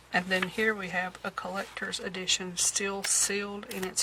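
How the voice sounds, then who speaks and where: Against noticeable background noise, a woman talks at a moderate pace and medium pitch with monotone, flat intonation. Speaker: thrift haul vlogger and antique shop owner. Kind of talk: show-and-tell haul video. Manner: hesitant, many fillers.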